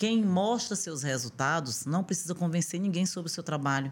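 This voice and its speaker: On a very clean recording with a silent background, a woman speaks at a fairly low pitch and a moderate pace with lively intonation. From Brazil, Northeast (Piauí, Rio Grande do Norte). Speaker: aesthetician and entrepreneur. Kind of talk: interview conversation.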